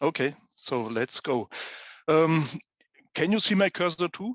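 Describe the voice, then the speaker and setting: A man with a German accent talks at a moderate pace, his pitch fairly high. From Germany, Munich. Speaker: head of addiction counseling service. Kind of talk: live app demonstration.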